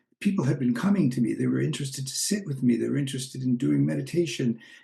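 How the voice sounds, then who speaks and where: A man's voice comes through somewhat breathy. His tone is dark and mellow. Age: 70s. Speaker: spiritual teacher and author. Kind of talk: personal appeal. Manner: reflective, slightly halting.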